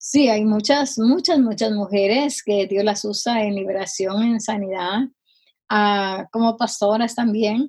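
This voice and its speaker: Speaking very slowly, a woman uses a fairly high, somewhat breathy voice with ordinary pitch variation. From Guatemala. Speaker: missionary and healing minister. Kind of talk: interview testimony. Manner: halting, many fillers.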